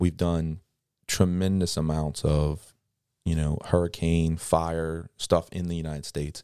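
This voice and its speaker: In a Louisiana accent, a man speaks with a very deep, low pitch and a dark, mellow tone. His intonation is monotone and flat, his pace fairly slow, and the recording is very clean with a silent background. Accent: Louisiana Southern US. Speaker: helicopter pilot. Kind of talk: casual chat.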